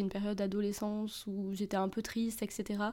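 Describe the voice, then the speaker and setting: Against a silent background in a very clean recording, a woman speaks at a fairly high pitch. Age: 20s. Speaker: poet. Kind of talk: casual chat.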